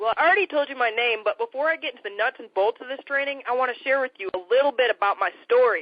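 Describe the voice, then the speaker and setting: A very fast, high-pitched woman with an American accent, lively intonation and big swings in loudness. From Michigan, US Midwest. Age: 20s. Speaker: entrepreneur. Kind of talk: sales pitch. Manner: energetic.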